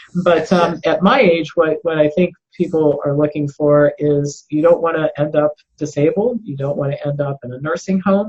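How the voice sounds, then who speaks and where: A woman speaks at a moderate pace with a fairly low pitch. Her voice is somewhat breathy, with ordinary pitch variation. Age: 60s. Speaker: health specialist. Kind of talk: interview.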